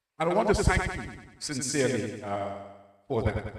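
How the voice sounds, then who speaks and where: Lively intonation from a medium-pitched man at a fairly slow pace, with audible room echo. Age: 60s. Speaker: minister. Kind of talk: testimony. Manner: halting.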